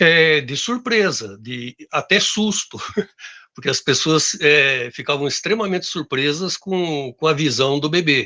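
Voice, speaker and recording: Lively intonation carries a man's fairly high, bright, sharp voice at a fairly slow pace against a quiet background. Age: 60s. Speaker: wife's business investor, interviewee. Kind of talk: interview. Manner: halting, many fillers.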